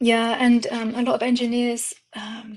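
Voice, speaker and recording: A woman speaks with a fairly high pitch. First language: Indian language. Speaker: digital artist and content creator. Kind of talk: casual interview chat. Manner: hesitant, many fillers.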